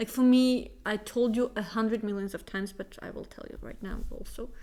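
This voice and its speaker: With a Russian accent, a woman talks at a fairly quick pace and a fairly high pitch, her intonation monotone and flat while her loudness swings widely. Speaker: podcast co-host. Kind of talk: casual chat.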